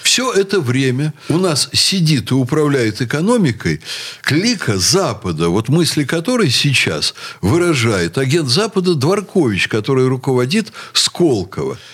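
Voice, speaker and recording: With fairly high pitch and very wide pitch swings, a man talks at a fairly slow pace amid noticeable background noise. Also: very even loudness. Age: 60s. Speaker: university rector. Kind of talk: radio talk show discussion.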